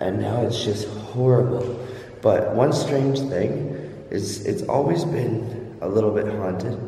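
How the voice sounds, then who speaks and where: A man speaks with ordinary pitch variation in audible room echo. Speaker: urban explorer vlogger. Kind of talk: casual vlog chat. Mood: nervous, creeped out. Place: factory. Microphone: phone near.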